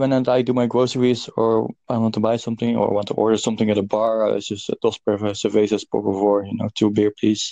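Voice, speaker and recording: With a Dutch accent and a dark, mellow tone, a man talks at a fairly quick pace with fairly even intonation in a dry, close sound with no echo. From Netherlands. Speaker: podcast host. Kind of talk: casual chat. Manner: halting.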